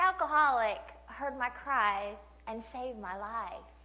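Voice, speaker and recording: High in pitch, a woman speaks with a slight Oklahoma accent. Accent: slight Oklahoma twang. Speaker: speaker, trafficking and addiction survivor. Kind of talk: testimony. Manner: casual, conversational with many fillers.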